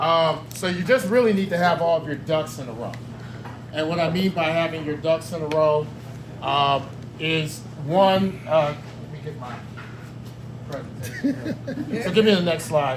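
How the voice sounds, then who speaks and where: A man's fairly high voice with lively intonation and big swings in loudness, a moderate pace broken by long, frequent pauses, plus audible room echo and noticeable background noise. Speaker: loan presenter at real estate seminar. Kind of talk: seminar presentation. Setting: room with live audience. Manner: energetic.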